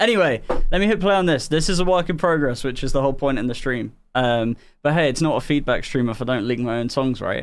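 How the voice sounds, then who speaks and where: This man has a southern English accent and a fairly high pitch. He talks very fast with lively intonation. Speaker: music producer and streamer. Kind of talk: casual chat. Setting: live stream.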